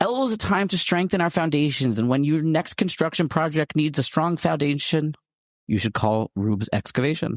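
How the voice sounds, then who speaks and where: With a normal speaking voice, a man talks at a fairly quick pace and lively intonation. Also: fairly high pitch for a man, quiet background. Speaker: podcast host. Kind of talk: radio ad read.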